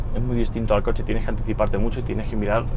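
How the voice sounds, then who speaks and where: A man against noticeable background noise. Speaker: driving instructor. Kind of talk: instruction during lesson. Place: car.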